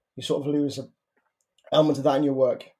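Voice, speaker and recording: A man with a Liverpool accent, a fairly high pitch, a dark, mellow tone, and monotone, flat intonation. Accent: Scouse. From Merseyside, northern England. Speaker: playwright. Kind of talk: interview. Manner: halting.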